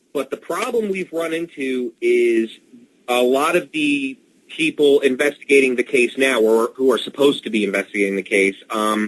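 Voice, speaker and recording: With lively intonation and a moderate pace, a man talks at a medium pitch in an unremarkable speaking voice. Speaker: author. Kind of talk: radio interview answer.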